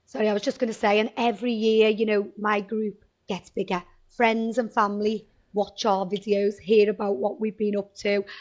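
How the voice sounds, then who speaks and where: In a Liverpool accent, a woman speaks at a moderate pace with a fairly high pitch and fairly even intonation. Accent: Liverpool (Scouse). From Liverpool, northern England. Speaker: travel agent. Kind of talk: interview.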